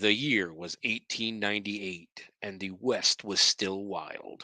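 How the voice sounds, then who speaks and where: In a put-on character voice, a man speaks at a fairly low pitch. The tone is dramatic and solemn. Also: fairly slow pace. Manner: dramatic, solemn.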